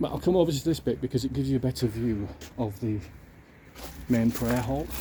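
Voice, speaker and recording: Speaking very fast, a man at medium pitch has a dark, mellow tone with vocal fry. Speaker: YouTube church tour vlogger. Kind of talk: casual walking vlog narration. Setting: outdoors.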